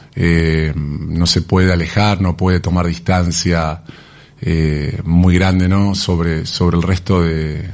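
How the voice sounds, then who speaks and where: This man's voice is very deep and low in pitch, with fairly even intonation. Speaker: business partner of a retail company. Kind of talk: radio interview.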